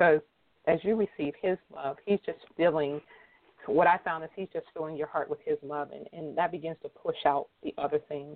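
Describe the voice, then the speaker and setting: With an American accent, a woman speaks in an unremarkable speaking voice at a moderate pace and fairly low pitch, with ordinary pitch variation. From Erie, Pennsylvania. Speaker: author and speaker. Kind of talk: interview testimony.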